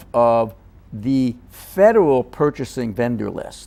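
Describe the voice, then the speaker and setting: Very slowly and with lively intonation, a man with a New York accent speaks in a dark, mellow tone. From New York, Queens. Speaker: policy advocate. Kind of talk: interview.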